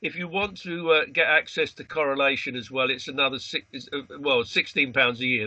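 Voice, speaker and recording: With a British accent, a man speaks fairly quickly at a fairly high pitch, his pitch varying in an ordinary way. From Britain. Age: 80s+. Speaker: astrologer, association president. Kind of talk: interview. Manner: hesitant, many fillers.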